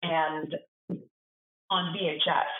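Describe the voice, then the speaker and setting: A woman's fairly low-pitched voice. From Alaska, Wasilla. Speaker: chef, foundation founder. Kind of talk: interview. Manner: casual, hesitant fillers.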